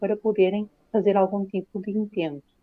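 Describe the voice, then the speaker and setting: In a Lisbon accent, a woman talks at a moderate pace and a medium pitch. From Portugal, Lisbon. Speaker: private investigator, corporate fraud expert. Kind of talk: interview. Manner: halting, many fillers.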